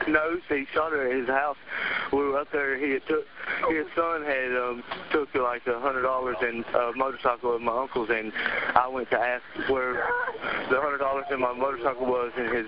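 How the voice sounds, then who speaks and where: A man at a fairly quick pace, dry sound with no echo, noticeable background noise underneath. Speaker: caller, witness. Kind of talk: emergency phone call. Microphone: phone line.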